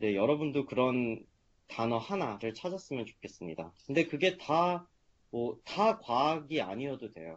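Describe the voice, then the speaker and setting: A man's medium-pitched voice, fairly slow, with very wide swings in pitch. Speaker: medical student. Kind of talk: seminar talk. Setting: video call. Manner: hesitant with fillers.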